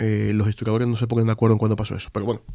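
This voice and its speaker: A man speaks in a Sevillian accent at a medium pitch. The recording is very clean, with a silent background. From Spain, Andalusia (Seville province, Marchena). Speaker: exhibition curator. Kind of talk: interview conversation. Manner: halting, many fillers and repetitions.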